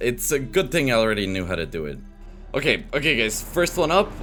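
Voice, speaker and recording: A man talks at a fairly quick pace while music plays in the background. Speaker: voice-over translator of gaming videos. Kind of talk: gameplay commentary.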